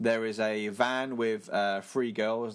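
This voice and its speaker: A man with an ordinary speaking voice, fairly low in pitch and fairly even in intonation. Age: 30s. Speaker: podcast host. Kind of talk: casual solo film review.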